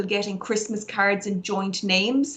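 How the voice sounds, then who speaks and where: Over noticeable background noise, a woman with an Irish accent talks fairly quickly at medium pitch in a monotone, flat intonation. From Ireland, Galway. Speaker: barrister. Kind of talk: interview.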